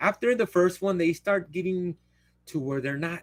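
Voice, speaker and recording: Speaking at a moderate pace, a man uses ordinary pitch variation, and the sound is dry and close with no echo. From San Antonio, Texas (west side). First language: Spanish. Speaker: live streamer. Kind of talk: casual live Q&A monologue. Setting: livestream. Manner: rambling, halting.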